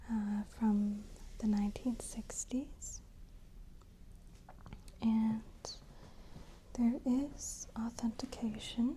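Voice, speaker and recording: The speaker is soft-spoken and talks at a very slow pace. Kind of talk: ASMR styling walkthrough, over-explaining demonstration. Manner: soft-spoken, slow, detailed.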